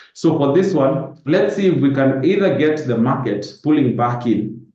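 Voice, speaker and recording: The voice has a dark, mellow tone and ordinary pitch variation. Room echo is audible. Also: man. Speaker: forex trader. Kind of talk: live webinar market analysis. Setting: live Zoom webinar. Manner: fast.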